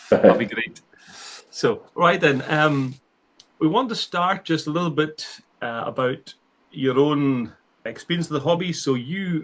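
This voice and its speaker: The speaker has a Scottish accent and a fairly slow pace. Pauses come long and often, and the pitch varies in an ordinary way. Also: man, fairly high pitch for a man. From northern Scotland. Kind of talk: casual interview.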